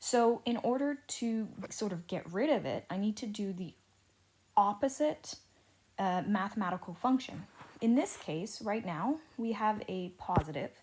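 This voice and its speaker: Somewhat breathy, a woman speaks at a fairly slow pace with a fairly high pitch and lively intonation. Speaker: teacher. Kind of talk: lecture. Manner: slow, deliberate.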